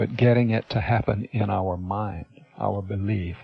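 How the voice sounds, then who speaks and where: An ordinary speaking voice moves at a moderate pace with ordinary pitch variation. The sound is dry and close, with no echo. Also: man. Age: 60s. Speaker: hypnotist and seminar presenter. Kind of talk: teleseminar talk.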